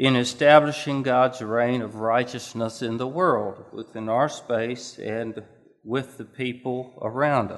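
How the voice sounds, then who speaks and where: Against a quiet background, a man at a medium pitch speaks very slowly with fairly even intonation and big swings in loudness. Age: 60s. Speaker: preacher. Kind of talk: sermon. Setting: church. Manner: halting.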